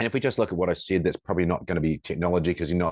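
Recorded with a dry, close sound and no echo over a quiet background, a man with a New Zealand accent speaks at a very deep, low pitch. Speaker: firefighter and coach, former police officer. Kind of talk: interview conversation. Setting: remote call. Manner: halting, many fillers.

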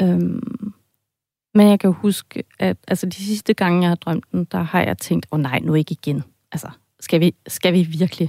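At a fairly slow pace, a woman with a dark, mellow tone and ordinary pitch variation is heard in a dry, close sound with no echo. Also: fairly low pitch for a woman. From half German, half Danish. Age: 40s. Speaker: podcast editor, listener with a dream. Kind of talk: interview, personal account. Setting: radio studio.

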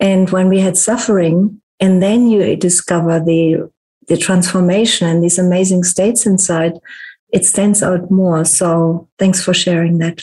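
In a dark, mellow tone, a woman speaks with flat, monotone intonation, a somewhat breathy quality and very even loudness. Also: medium pitch for a woman, fairly slow pace. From Germany. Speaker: podcast host and holistic therapist. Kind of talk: casual interview chat.

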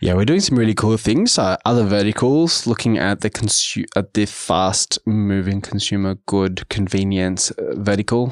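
The voice has an Australian accent and fairly even intonation, recorded with a dry, close sound and no echo. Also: man. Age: 30s. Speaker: business executive. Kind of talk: interview.

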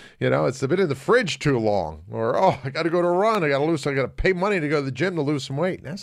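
A man speaks at a very fast pace with lively intonation, vocal fry and a fairly high pitch. The recording is very clean with a silent background. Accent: American. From United States. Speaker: radio talk show host. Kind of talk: casual talk radio.

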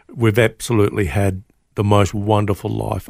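Fairly low-pitched male speech in an Australian accent at a moderate pace, on a very clean recording with a silent background. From Australia, mid-north coast of New South Wales. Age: 60s. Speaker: pastor. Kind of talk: testimony. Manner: halting, repeated words.

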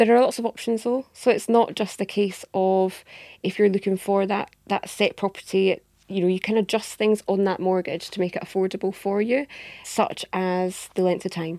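With an Edinburgh accent, a woman talks at a moderate pace and medium pitch. Her tone is dark and mellow, with fairly even intonation. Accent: Scottish (Edinburgh), noticeable. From Edinburgh, Scotland. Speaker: mortgage industry adviser. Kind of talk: casual interview chat.

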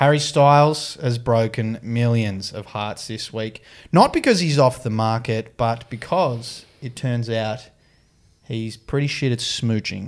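A man speaks at a fairly slow pace with an Australian accent, his medium pitch showing ordinary variation, on a very clean recording with a silent background. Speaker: sports reporter and podcast co-host. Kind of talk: casual chat. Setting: studio in Sydney.

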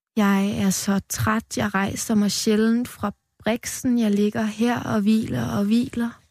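A somewhat breathy woman at a very slow pace and a fairly high pitch with ordinary pitch variation, very clean recording with a silent background, dry and close with no echo. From Denmark, western Jutland. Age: 20s. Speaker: poet. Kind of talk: poetry reading; interview. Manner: halting.

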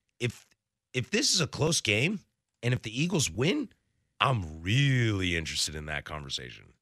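In a very clean recording with a silent background and a dry, close sound with no echo, a man of medium pitch talks at a moderate pace with a bright, sharp tone, vocal fry, very wide pitch swings and long, frequent pauses. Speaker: sports radio host. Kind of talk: casual chat. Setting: studio. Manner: enunciates clearly.

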